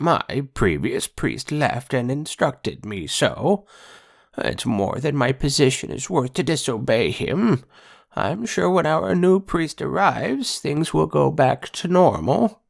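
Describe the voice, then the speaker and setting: In a put-on character voice, a man speaks with a timid tone, fairly high pitch and fairly slow pace on a very clean recording with a silent background. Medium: read story. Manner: timid, apologetic.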